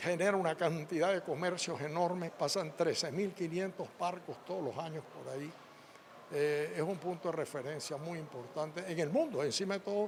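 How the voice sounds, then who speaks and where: The man's voice is high-pitched. He speaks at a moderate pace. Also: fairly even intonation. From Panama. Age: 80s+. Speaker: former agriculture minister and businessman. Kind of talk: interview. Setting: event venue.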